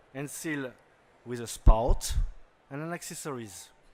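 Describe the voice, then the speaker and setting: Speaking fairly slowly, a man has a French accent. His voice is fairly high, with ordinary pitch variation. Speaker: company owner and CEO. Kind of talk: product pitch. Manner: halting.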